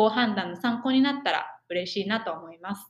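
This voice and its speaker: Her voice is somewhat breathy and medium in pitch. The woman speaks at a moderate pace. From Japan. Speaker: podcast co-host, exchange student. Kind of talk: casual chat.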